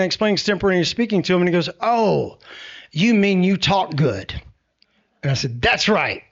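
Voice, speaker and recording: A man speaks with a Tennessee accent. His voice sits high in pitch. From Middle Tennessee. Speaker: TV meteorologist. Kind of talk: public talk. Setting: venue with live audience. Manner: animated.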